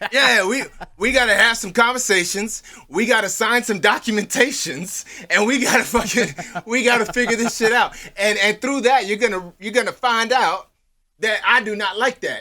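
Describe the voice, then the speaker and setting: Raised and projected, a man's voice sits at an extremely high pitch, moving at a moderate pace with ordinary pitch variation. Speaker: podcast co-host. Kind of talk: casual chat. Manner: animated.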